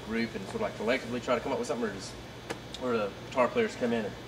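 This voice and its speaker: A man at medium pitch with a Southern US accent, amid audible room echo and noticeable background noise. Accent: southern twang. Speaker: interviewer. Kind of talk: casual interview. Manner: halting.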